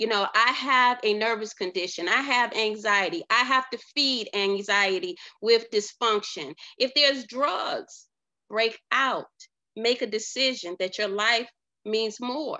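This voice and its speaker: A woman speaks with an unremarkable speaking voice, pitched fairly high. Her pace is fairly slow, with ordinary pitch variation. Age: 50s. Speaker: life coach. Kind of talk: motivational monologue. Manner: casual with frequent fillers.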